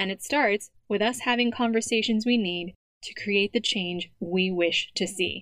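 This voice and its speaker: The speaker has an ordinary speaking voice with an American accent. Delivery is fairly slow, with ordinary pitch variation. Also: woman, medium pitch for a woman. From United States. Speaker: podcast host and diversity consultant. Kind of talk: scripted intro narration; interview conversation.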